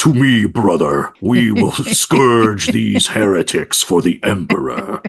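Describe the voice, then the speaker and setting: At a fairly slow pace, the voice is a put-on character voice. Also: man, fairly low pitch for a man. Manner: zealous, dramatic, heroic.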